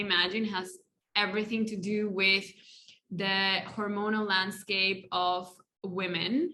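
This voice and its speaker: With a Spanish accent, a woman speaks in a bright, sharp tone at a medium pitch, her intonation monotone and flat and her pace fairly slow. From Colombia. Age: 30s. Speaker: life coach. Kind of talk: podcast interview. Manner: halting.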